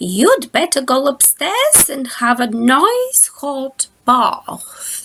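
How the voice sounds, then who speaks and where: Putting on a character voice, a woman speaks very slowly at a high pitch with lively intonation. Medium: read story.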